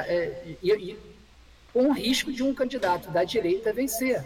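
A man talks at a very slow pace with very wide pitch swings. Noticeable background noise runs underneath. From Rio de Janeiro, Brazil. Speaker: comedy screenwriter. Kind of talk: casual chat. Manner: halting.

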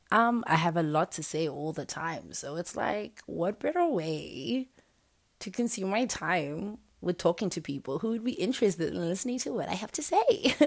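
A woman's fairly low voice with very wide pitch swings, on a very clean recording with a silent background. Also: moderate pace. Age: 20s. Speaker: podcaster. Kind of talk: solo podcast monologue. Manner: casual, laughing often.

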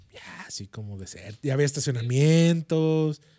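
Very slowly, a man with a Mexican accent speaks in a dark, mellow tone at a fairly high pitch. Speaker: podcast co-host. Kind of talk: casual chat.

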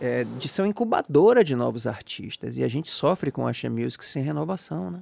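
The audio is dry and close, with no echo. It's a man, speaking at a fairly quick pace. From Salvador, Bahia, Brazil. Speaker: podcast host. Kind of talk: casual interview chat.

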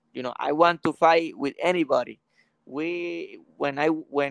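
Speaking with a Spanish accent, a man uses a fairly high pitch at a very slow pace in a dry, close sound with no echo. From Puerto Rico, Aguadilla. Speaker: professional boxer. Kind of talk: casual interview. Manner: halting, repeats words.

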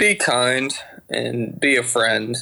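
Speaking with a Georgia accent, a man has a bright, sharp tone at a medium pitch. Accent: Southern US, Georgia twang. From Georgia, US South. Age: 20s. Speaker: pilot, aviation mechanic. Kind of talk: casual podcast interview.

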